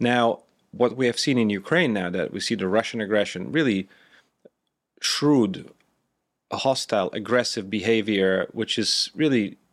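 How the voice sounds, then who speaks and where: A man with a Lithuanian accent speaks at a fairly low pitch and a moderate pace in a very clean recording with a silent background. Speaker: former defense official. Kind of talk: interview.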